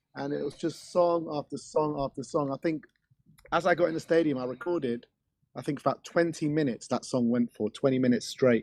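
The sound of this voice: A man's fairly high-pitched, croaky voice, slightly mellow in tone, with fairly even intonation. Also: fairly quick pace.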